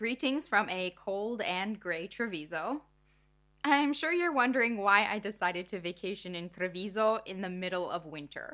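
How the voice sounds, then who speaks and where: This woman has a medium pitch and a bright, sharp tone. She moves at a moderate pace with lively intonation. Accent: American. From United States. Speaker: food writer and chef. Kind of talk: scripted narration.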